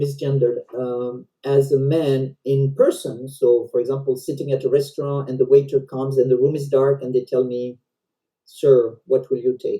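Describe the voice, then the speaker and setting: Speaking with a French accent, a woman uses a very deep, low pitch and a dark, mellow tone, her intonation monotone and flat. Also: moderate pace. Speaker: volunteer presenter. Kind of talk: educational presentation. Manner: halting.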